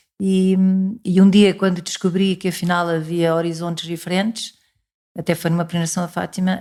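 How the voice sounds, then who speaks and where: In a Lisbon accent, a woman speaks fairly quickly at medium pitch, her tone dark and mellow and her intonation monotone and flat. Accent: European Portuguese (Lisbon area). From Portugal. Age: 60s. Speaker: parishioner and pro-life volunteer. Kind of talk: interview testimony.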